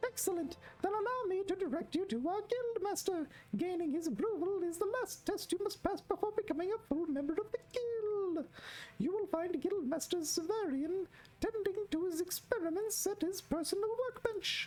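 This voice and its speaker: Using a squeaky, put-on character voice pitched extremely high, a woman speaks at a moderate pace. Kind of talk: NPC dialogue read aloud. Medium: game stream. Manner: formal, long-winded.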